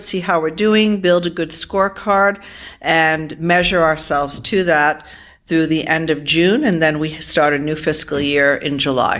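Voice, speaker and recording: Speaking at a moderate pace, a woman with an American accent has an unremarkable speaking voice. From US Northeast, Providence, Rhode Island. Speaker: accounting firm partner. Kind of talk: interview.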